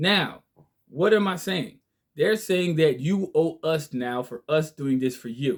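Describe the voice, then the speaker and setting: A man speaks at a fairly slow pace with a fairly high pitch. His intonation is lively and his tone passionate. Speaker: online legal and finance commentator. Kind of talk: monologue lecture to viewers. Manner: slow, deliberate.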